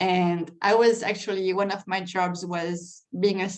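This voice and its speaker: With a French accent, a woman speaks in a monotone, flat intonation. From France. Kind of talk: interview answer.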